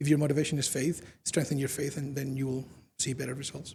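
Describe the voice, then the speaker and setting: The voice is somewhat breathy. It carries a Spanish accent. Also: man. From Spain. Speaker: UN communications officer. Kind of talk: public lecture.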